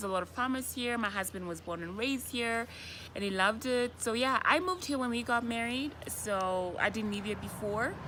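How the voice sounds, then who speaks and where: Noticeable background noise sits behind a woman with a fairly high pitch. Her intonation is lively and her pace moderate. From Namibia. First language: Oshiwambo. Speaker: vlogger. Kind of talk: casual chat. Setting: outdoors.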